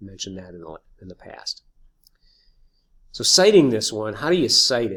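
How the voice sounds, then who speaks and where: A man with an American accent speaks at a moderate pace and a medium pitch, his loudness swinging widely and his pitch rising and falling very sharply, with long, frequent pauses. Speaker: high school teacher. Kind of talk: tutorial. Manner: halting.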